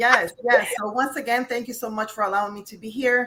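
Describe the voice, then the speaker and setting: An ordinary speaking voice from a woman with an American accent, at a moderate pace with ordinary pitch variation. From upstate New York. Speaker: life and career coach, author. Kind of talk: interview.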